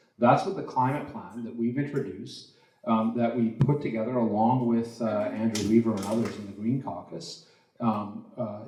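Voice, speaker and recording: Against audible room echo, a man speaks with ordinary pitch variation. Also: medium pitch for a man, moderate pace. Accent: Canadian. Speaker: politician, provincial legislator. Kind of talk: candidates debate answer. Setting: stage with audience. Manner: loud.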